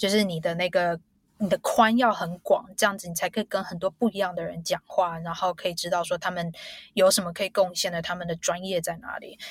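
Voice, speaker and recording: A woman's medium-pitched, somewhat breathy voice at a fairly quick pace, with fairly even intonation, big swings in loudness and a dry, close sound with no echo. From Taiwan, Taipei. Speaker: biotech executive. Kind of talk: interview.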